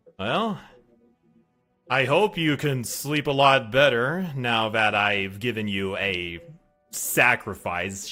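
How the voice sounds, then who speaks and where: This is a put-on character voice with faint music in the background. It moves at a very slow pace, broken by long, frequent pauses. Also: man, medium pitch for a man. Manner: sinister, ritualistic.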